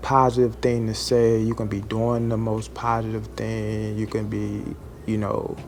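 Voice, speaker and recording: Music plays in the background, and there is audible room echo. A man speaks at a fairly slow pace. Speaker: food service truck driver, vlogger. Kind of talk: casual vlog monologue. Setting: at a delivery stop near a lobby.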